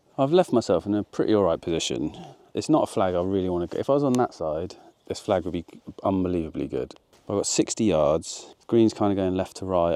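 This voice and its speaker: A man speaks with a British accent in a dark, mellow tone, fairly low in pitch with ordinary pitch variation, at a fairly quick pace. The sound is dry and close with no echo over a quiet background. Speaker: golf vlogger. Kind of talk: casual golf vlog commentary. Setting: outdoors on a golf course. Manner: quiet, low voice.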